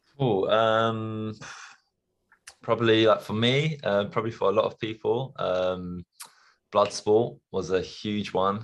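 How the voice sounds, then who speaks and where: A man talks in a London accent at a medium pitch. He goes very slowly, with long, frequent pauses. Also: ordinary pitch variation. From London, England. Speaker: stuntman. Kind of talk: interview.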